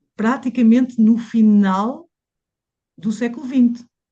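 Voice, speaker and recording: Very slowly, a woman speaks in a somewhat breathy voice with a dark, mellow tone. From Mozambique, then Portugal from age 12. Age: 60s. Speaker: massage therapist. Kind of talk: interview conversation. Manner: hesitant, many fillers and repetitions.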